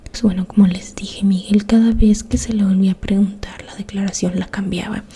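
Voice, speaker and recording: A woman at medium pitch talks in monotone, flat intonation with big swings in loudness, over noticeable background noise. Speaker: ASMR creator, true crime storyteller. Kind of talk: whispered ASMR true-crime narration. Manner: soft-spoken, slow.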